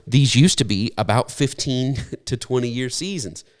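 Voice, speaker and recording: A man's voice comes through in a very clean recording with a silent background. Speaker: preacher. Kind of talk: sermon. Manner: halting.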